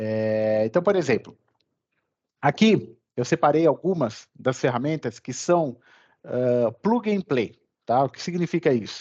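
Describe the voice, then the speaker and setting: A man with a fairly high voice swings very widely in pitch. He goes fairly slowly with long, frequent pauses, the sound dry and close with no echo. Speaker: course instructor. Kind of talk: online lecture. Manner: animated.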